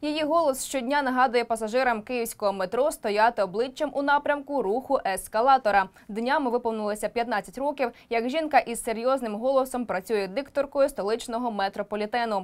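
Speaking at a moderate pace with hardly any pauses, a woman uses a high pitch and ordinary pitch variation. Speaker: news presenter. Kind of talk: news report narration. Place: studio. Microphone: lapel.

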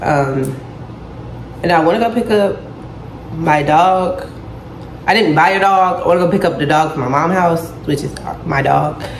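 A woman speaks at a fairly slow pace with a fairly low pitch. Audible room echo and light background noise are present. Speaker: vlogger. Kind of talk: casual vlog chat. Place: kitchen. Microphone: phone near.

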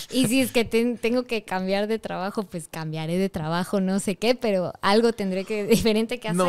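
A woman at a moderate pace, with hardly any pauses and ordinary pitch variation. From Ecuador. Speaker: voice over artist and singer. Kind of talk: interview answer. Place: studio. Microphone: studio mic.

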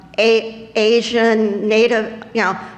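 Audible room echo surrounds the speaker. She is a woman with a fairly high pitch. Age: 70s. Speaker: public commenter at school board meeting. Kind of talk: public comment.

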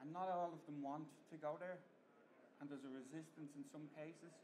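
Moderately paced male speech over noticeable background noise. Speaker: conference presenter. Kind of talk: lecture. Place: hall. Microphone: camera far.

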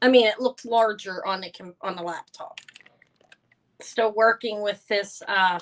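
Speaking loudly at a slow pace, a woman of medium pitch keeps her intonation fairly even, with long, frequent pauses.

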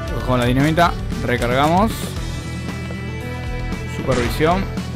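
Clear music plays in the background as the speaker, with an Argentine accent, goes at a fairly slow pace in a dry sound with no echo. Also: man. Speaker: indie game developer. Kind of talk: casual video game commentary. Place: home room. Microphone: studio mic.

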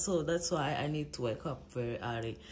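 Light background noise sits behind a woman as she talks. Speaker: travel vlogger. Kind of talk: casual vlog chat. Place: home room. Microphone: phone near.

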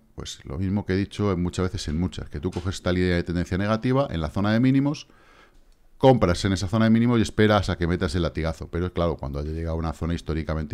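A very clean recording of a man with a very deep, low pitch, talking at a very fast pace over a silent background. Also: lively intonation. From Spain. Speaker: crypto trading youtuber. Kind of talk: casual monologue with chart analysis. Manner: animated.

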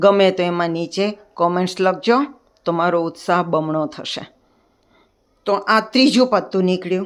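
A plain, everyday voice from a woman at medium pitch. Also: ordinary pitch variation. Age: 60s. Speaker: retired professor and artist doing card magic. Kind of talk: tutorial. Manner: chatty.

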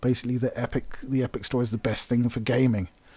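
A man speaks in a dark, mellow tone with an English accent. The recording is very clean, with a silent background. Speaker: gaming YouTuber. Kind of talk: commentary rant. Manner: casual, hesitant fillers.

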